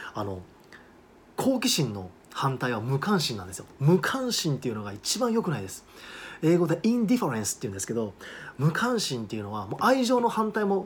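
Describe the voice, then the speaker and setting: Talking at a fairly quick pace, a man with a fairly high pitch shows very wide pitch swings and big swings in loudness. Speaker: study abroad agent and English teacher. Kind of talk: monologue video talk. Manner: casual, with many fillers.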